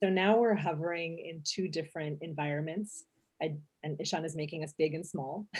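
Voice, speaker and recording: Somewhat breathy and at a fairly quick pace, the voice comes through in a very clean recording with a silent background. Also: woman, fairly low pitch for a woman. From Ukraine, Odessa. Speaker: architect. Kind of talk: lecture.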